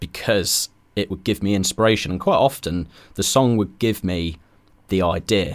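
A man with a fairly low pitch and an ordinary speaking voice talks at a moderate pace with ordinary pitch variation, recorded very cleanly against a silent background. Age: 20s. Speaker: videographer and video editor. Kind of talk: casual interview. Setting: podcast studio.

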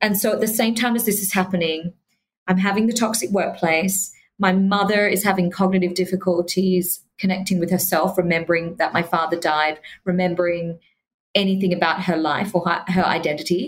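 Somewhat breathy speech comes at a fairly quick pace with fairly even intonation. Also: woman, medium pitch for a woman. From Australia. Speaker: human connection specialist. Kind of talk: interview.

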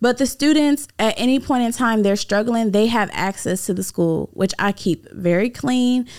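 Using an unremarkable speaking voice, a woman talks at a moderate pace with hardly any pauses and ordinary pitch variation, in a very clean recording with a silent background. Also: fairly high pitch for a woman. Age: 20s. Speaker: lash artist and school owner. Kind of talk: casual interview.

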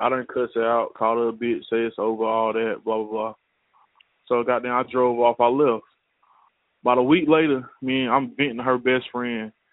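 A man talks at a moderate pace and medium pitch. His intonation is flat and monotone. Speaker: caller. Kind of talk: voicemail. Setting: phone call.

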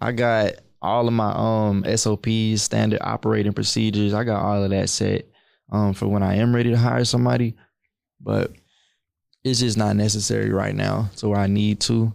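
A man uses a normal speaking voice at a fairly low pitch and a moderate pace, with ordinary pitch variation and very even loudness. The recording is very clean, with a silent background. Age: 20s. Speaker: young entrepreneur and credit educator. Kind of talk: casual interview.

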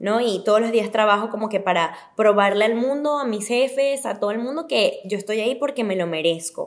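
In a plain, everyday voice, a woman with a fairly high pitch talks at a fairly quick pace with ordinary pitch variation and hardly any pauses. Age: 20s. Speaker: TV presenter. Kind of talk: casual interview chat.

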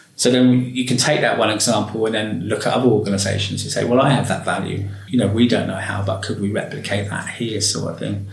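Amid noticeable background noise and audible room echo, a man talks very fast with hardly any pauses and fairly even intonation. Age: 40s. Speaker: education and care worker. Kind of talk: interview. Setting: library.

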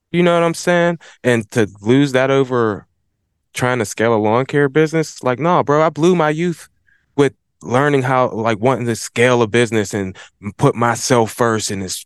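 A man with a plain, everyday voice talks at medium pitch and a moderate pace, with ordinary pitch variation. The sound is dry and close with no echo, over a quiet background. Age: 40s. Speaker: lawn care business owner. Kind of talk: casual chat.

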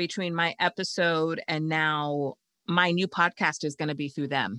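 A woman speaks at a fairly slow pace in a bright, sharp tone. The sound is dry and close with no echo, on a very clean recording with a silent background. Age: 50s. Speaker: occupational therapist turned podcast launch strategist. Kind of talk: interview.

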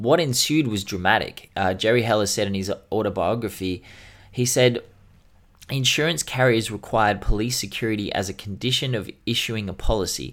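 The recording is very clean, with a silent background. Pitch varies in an ordinary way, and the pace is moderate. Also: man, fairly low pitch for a man. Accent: Australian. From Australia. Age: 30s. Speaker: hip-hop podcast co-host. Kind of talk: casual chat.

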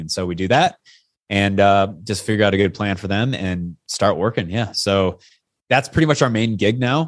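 Over a quiet background, a man with a fairly low pitch talks at a fairly quick pace with ordinary pitch variation in an ordinary speaking voice. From US Pacific Northwest, Yakima, Washington. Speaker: stuntman and fitness coach. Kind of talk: casual interview chat.

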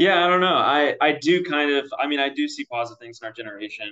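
Using a plain, everyday voice, a man speaks at a fairly quick pace with lively intonation. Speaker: recent graduate, communications fellow. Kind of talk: roundtable discussion.

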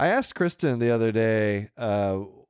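A man with an American accent speaks in an ordinary speaking voice at medium pitch, with ordinary pitch variation and a fairly slow pace. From US South. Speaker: podcast host, physician. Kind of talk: casual chat. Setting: home studio in spare room.

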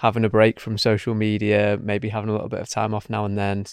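A man speaks in a dry, close sound with no echo, and the recording is very clean with a silent background. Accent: Manchester. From Manchester, England. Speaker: podcast host, marketing agency founder. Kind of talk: interview.

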